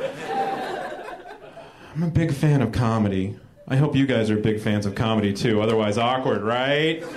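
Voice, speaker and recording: A man at medium pitch with ordinary pitch variation and very even loudness, fairly slow in pace, with crowd noise in the background. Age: 30s. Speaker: stand-up comedian and comedy writer. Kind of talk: stand-up. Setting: stage with audience.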